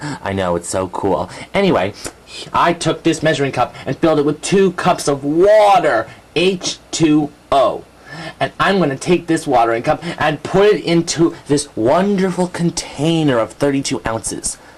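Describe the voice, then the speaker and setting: Using a cartoonish character voice, a man talks at a moderate pace in a fairly high pitch. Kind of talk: educational puppet segment. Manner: excitable, giggly.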